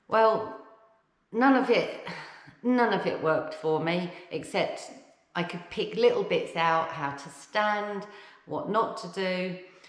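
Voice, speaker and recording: In an English accent, the speaker goes at a very slow pace with long, frequent pauses. The intonation is lively, and there is audible room echo. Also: woman, medium pitch for a woman. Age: 50s. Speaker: vlogger. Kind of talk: casual vlog talk. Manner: conversational with frequent fillers.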